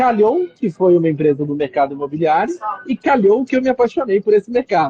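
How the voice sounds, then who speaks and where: A man with a strong Minas Gerais accent speaks at a moderate pace, his pitch swinging very widely. The sound is dry and close, with no echo. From Minas Gerais, Brazil. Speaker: real estate company executive. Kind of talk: interview.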